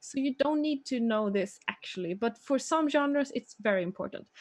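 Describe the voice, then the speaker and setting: A high-pitched woman's voice in a Swedish accent, with very wide pitch swings. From Sweden. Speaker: manga artist. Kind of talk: tutorial. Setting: live stream. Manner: halting.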